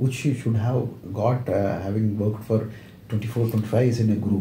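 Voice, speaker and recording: A man with an Indian accent talks fairly quickly in a dark, mellow, somewhat breathy voice, with audible room echo. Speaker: interviewer, retired company secretary. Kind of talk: interview. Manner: hesitant with many fillers.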